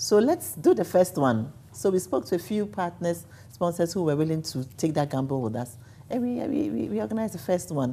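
A woman speaks at a fairly quick pace in a very deep, low pitch, her dark, mellow tone swinging very widely in pitch and dropping into vocal fry. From Ghana. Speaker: events company executive; interview guest. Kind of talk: TV interview. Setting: hotel set. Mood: animated, storytelling. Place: home room. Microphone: lapel.

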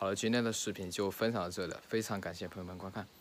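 There is light background noise as a man speaks very fast. His fairly low voice stays flat and monotone. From rural China. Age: 20s. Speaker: cattle herder and vlogger; vlogger. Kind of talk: casual vlog. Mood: joking, self-mocking. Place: street. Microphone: phone near.

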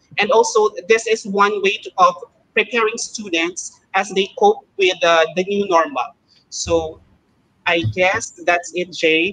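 A man with a Filipino accent uses a raised, projected voice at a very slow pace. His pitch is high, with ordinary variation and a bright, sharp tone. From Philippines, Iloilo; Philippines. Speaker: elementary math teacher. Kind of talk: casual chat. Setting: video call. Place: home room. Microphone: video call.

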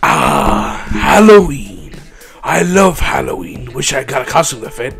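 Over clear background noise, a man with a fairly high pitch speaks at a fairly slow pace. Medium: machinima. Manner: upbeat, rambling, eager.

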